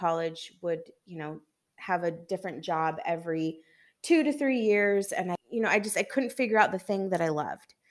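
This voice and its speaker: In an American accent, a woman speaks at a moderate pace with a medium pitch on a very clean recording with a silent background. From US Pacific Northwest, Seattle. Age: 30s. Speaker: astrologer. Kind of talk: casual interview.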